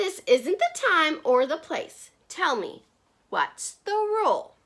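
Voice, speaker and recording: A woman puts on a character voice at an extremely high pitch. She speaks fairly slowly. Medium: read story.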